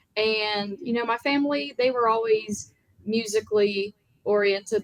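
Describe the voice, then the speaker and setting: With an American accent, a woman talks at a fairly quick pace and a medium pitch, her intonation fairly even. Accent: Southern accent, by others. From US South, small town in Virginia. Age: young. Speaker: country music singer. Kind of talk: interview.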